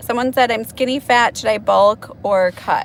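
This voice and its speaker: A woman with a Wisconsin accent, noticeable background noise. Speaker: nurse. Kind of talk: casual chat.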